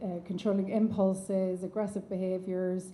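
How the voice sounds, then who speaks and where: Amid audible room echo, a woman speaks at a medium pitch and a moderate pace, her dark, mellow voice somewhat breathy and her intonation monotone and flat. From Ireland. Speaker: neuropsychiatrist. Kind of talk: conference lecture. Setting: conference stage with audience and online attendees.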